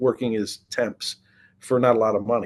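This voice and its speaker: A man with an American accent talks at a moderate pace with an unremarkable speaking voice, medium in pitch. The background is quiet. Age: 60s. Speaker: real estate investor. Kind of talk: interview.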